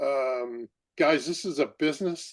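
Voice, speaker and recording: A man's fairly high pitch over a quiet background. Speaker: podcast host, former basketball coach. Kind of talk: casual interview chat. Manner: loud; animated.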